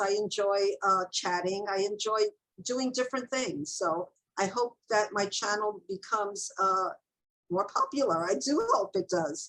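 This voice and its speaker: Music in the background behind a woman at a medium pitch and a moderate pace. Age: 70s. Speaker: author and booktuber. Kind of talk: casual chat.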